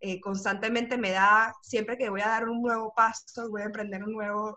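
At a fairly slow pace, a woman talks with a fairly high pitch and a bright, sharp tone. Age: 30s. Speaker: communications and personal branding speaker. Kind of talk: casual interview. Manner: halting, many repetitions and fillers.

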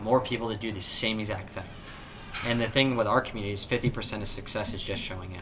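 Over music in the background, a man with an American accent talks at a very fast pace and a fairly low pitch. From Southern California, San Diego. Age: young. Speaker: entrepreneur, company founder. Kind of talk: casual interview chat. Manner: animated.

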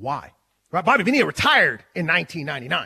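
A man's raised, projected voice, bright and sharp in tone and animated, at a fairly slow pace with very wide pitch swings, in a dry, close sound with no echo.

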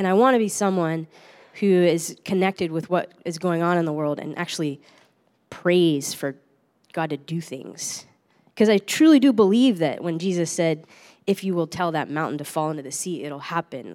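On a very clean recording with a silent background, a woman talks at a moderate pace with fairly low pitch and ordinary pitch variation. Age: 30s. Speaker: pastor. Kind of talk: sermon. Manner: halting.

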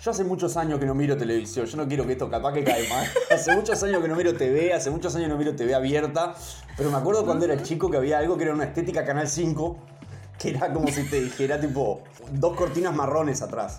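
There is noticeable background noise and audible room echo. A man speaks at a very fast pace, his pitch fairly high. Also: ordinary pitch variation. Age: 30s. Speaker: DJ. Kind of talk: casual interview. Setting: remote call. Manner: halting.

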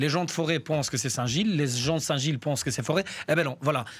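A man speaks in a plain, everyday voice with a fairly high pitch and ordinary pitch variation. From Albania. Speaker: community worker and association coordinator. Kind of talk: radio interview. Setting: studio.

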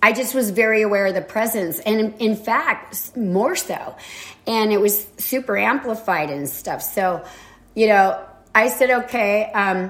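A woman has an ordinary speaking voice, with a medium pitch and ordinary pitch variation. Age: 60s. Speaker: podcast host. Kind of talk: casual spiritual monologue. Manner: rambling, many fillers.

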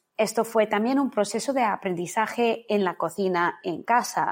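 A woman speaks at a very slow pace. Her pitch varies in an ordinary way. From India, born in London. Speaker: culinary teacher and Ayurveda consultant. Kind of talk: casual interview. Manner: halting, many repetitions.

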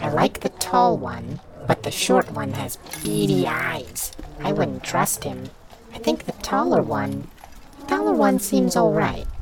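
A put-on character voice with a very deep, low pitch is heard over clear background noise. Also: fairly slow pace. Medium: actual play.

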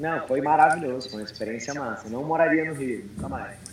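A man's voice comes with audible room echo. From Brazil and United States. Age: 30s. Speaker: CrossFit coach. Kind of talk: casual chat.

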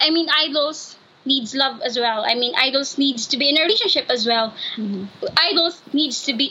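A woman's raised, projected voice, high in pitch, at a moderate pace with ordinary pitch variation. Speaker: student. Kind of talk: casual chat. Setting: video call. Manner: halting.

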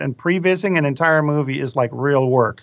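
With a Danish accent, a man talks at a very fast pace with ordinary pitch variation. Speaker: film director and course instructor. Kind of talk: interview.

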